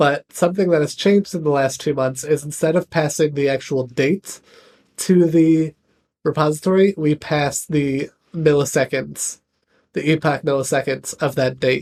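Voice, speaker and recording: Heard in a dry, close sound with no echo, a man uses an ordinary speaking voice at a fairly high pitch and a moderate pace. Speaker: software developer streamer. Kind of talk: live coding stream. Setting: live stream.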